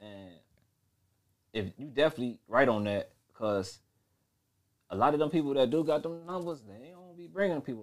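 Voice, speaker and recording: A man's fairly high voice with lively intonation, big swings in loudness and a fairly quick pace broken by long, frequent pauses. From Chicago West Side. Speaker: rapper and record label owner. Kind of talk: casual interview chat.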